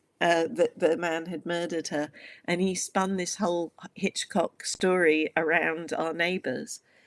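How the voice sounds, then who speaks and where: The sound is dry and close with no echo and a quiet background. A woman speaks at a fairly slow pace with a fairly low pitch and fairly even intonation. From US Midwest, Wisconsin. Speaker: author and activist. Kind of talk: podcast interview. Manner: hesitant with many fillers.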